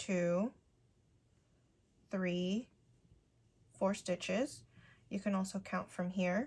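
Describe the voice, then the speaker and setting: With very even loudness and ordinary pitch variation, a woman speaks at a medium pitch, somewhat breathily, at a very slow pace with long, frequent pauses. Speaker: crochet tutorial creator. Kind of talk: tutorial.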